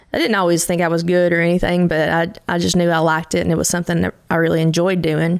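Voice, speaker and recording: With a Kentucky accent, a woman talks at a very fast pace with hardly any pauses, her fairly low pitch held in a monotone, flat intonation at very even loudness. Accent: Kentucky twang. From Eastern Kentucky. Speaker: country singer-songwriter. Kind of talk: interview conversation.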